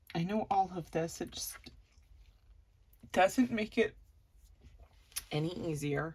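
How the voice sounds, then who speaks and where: A woman's somewhat breathy voice at a very slow pace, with long, frequent pauses and ordinary pitch variation. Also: medium pitch for a woman. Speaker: crafting vlogger. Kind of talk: casual chat. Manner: rambling, loses train of thought.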